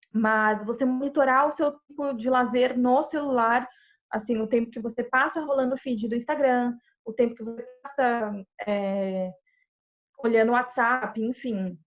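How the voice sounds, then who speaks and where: A woman's high voice at a fairly slow pace with fairly even intonation, music playing in the background. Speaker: psychologist giving a talk. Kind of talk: online presentation with live chat.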